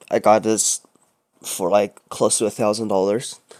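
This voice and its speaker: A man speaks at a medium pitch with a non-native accent. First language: not English. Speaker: vlogger. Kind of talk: personal rant. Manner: halting.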